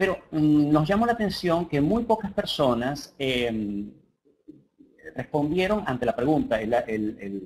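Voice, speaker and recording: A man with a Venezuelan accent speaks fairly slowly in a somewhat breathy voice at a fairly high pitch, swinging very widely in pitch. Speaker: coach and humorist. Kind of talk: webinar lecture. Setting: online class. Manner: halting, many fillers.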